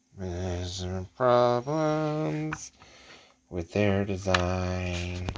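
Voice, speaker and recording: Very deep and low, a man's voice moves at a very slow pace with lively intonation. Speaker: model kit hobbyist YouTuber. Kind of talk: casual show-and-tell vlog. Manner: halting, with fillers; quiet, hushed.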